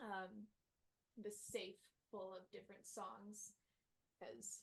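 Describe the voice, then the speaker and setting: A woman speaks at a very slow pace with a medium pitch. Her voice is somewhat breathy, with monotone, flat intonation. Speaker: musician. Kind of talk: interview. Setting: home studio.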